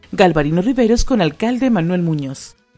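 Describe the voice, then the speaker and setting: With music playing in the background, the voice moves at a moderate pace through very wide pitch swings. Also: woman. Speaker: voice-over artist. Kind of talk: radio/TV commercial read.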